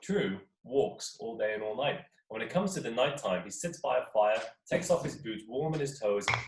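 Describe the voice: Things are quiet in the background. Over that comes plain reading aloud.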